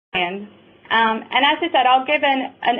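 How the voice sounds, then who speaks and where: A woman speaks with a Southern US accent at a fairly slow pace. Her pitch is high. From US South, North Carolina. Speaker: software product presenter. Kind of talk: webinar presentation.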